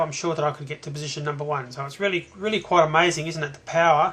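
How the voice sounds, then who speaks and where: With an Australian accent, a man speaks in a fairly high voice that has a bright, sharp tone. His delivery is monotone and flat. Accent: Australian, noticeable. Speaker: internet marketer. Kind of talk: tutorial. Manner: hesitant, many fillers.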